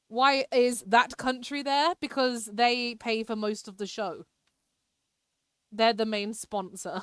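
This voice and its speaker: A woman with a British accent speaks at a very slow pace in a fairly high pitch, her loudness swinging widely, on a very clean recording with a silent background. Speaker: live streamer. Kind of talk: casual live-stream chat while gaming. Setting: live stream.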